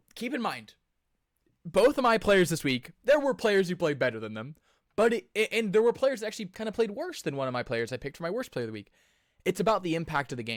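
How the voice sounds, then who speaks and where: A man's high-pitched voice at a very fast pace with very wide pitch swings, on a very clean recording against a silent background. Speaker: sports podcast co-host. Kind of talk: casual sports talk.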